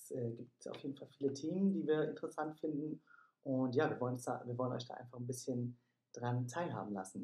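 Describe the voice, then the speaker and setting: A somewhat breathy man with a dark, mellow tone speaks at a medium pitch and a fairly quick pace, his pitch varying in an ordinary way. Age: 20s. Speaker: podcast co-host, yoga studio manager. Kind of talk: casual chat. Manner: hesitant, many fillers.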